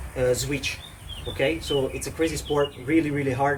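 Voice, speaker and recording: A man with an Italian accent speaks at a fairly high pitch and a moderate pace. His intonation is fairly even, and there is light background noise. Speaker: fitness coach. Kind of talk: tutorial. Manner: halting, many fillers. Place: garden.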